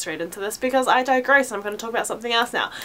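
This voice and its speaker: The woman's pitch is fairly high. Noticeable background noise sits behind her. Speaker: fashion haul vlogger. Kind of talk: casual vlog haul.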